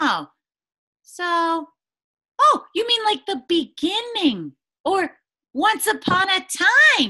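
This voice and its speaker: In a put-on character voice at an extremely high pitch, the speaker goes at a very slow pace with long, frequent pauses. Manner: excited, playful.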